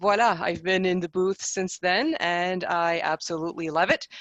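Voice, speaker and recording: A woman's medium-pitched voice in a French accent, with monotone, flat intonation. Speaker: conference interpreter. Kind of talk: panel presentation.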